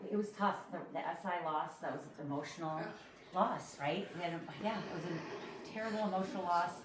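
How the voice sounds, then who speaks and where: Noticeable background noise and audible room echo surround this woman's voice. Her pitch is fairly low, with ordinary variation. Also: fairly quick pace. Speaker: sports coach. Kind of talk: banquet speech. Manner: fast.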